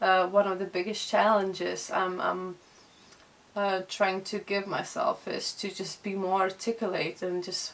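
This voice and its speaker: Noticeable background noise surrounds a woman with a Lithuanian accent. She speaks at a fairly slow pace. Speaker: vlogger and illustrator. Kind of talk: casual vlog chat. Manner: halting.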